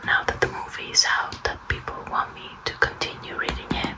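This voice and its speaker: Someone whispers at a very slow pace while noticeable background noise runs underneath. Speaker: ASMR content creator. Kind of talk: casual talk to camera, intro to video. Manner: nervous, awkward, soft-spoken.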